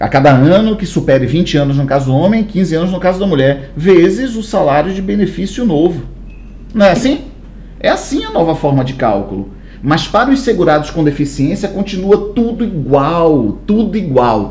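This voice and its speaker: A man with a high pitch and an animated tone, at a moderate pace, his pitch swinging very widely, amid audible room echo and noticeable background noise. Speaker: law course teacher. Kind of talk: lecture.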